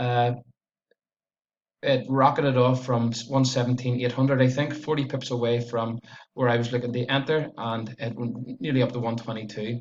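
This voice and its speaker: Talking at a moderate pace, a man has a strong Belfast accent. His pitch is medium and his intonation monotone and flat. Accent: strong Northern Irish (Belfast). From Northern Ireland, Belfast area. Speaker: forex trader. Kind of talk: trading performance review tutorial. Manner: casual, hesitant with many uhs.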